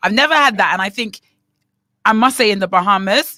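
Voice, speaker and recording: A woman with a British accent talks at a fairly quick pace, her medium-pitched voice bright and sharp, animated, with lively intonation. The recording is very clean with a silent background and a dry, close sound with no echo. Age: young. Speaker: radio co-host and teacher. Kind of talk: casual chat.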